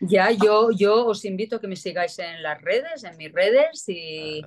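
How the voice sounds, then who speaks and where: The background here is quiet. The speaker is a woman. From Spain, Barcelona. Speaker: actress and celebrity lookalike. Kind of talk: interview. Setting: remote interview. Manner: repetitive, halting. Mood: warm, grateful. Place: home room. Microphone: video call.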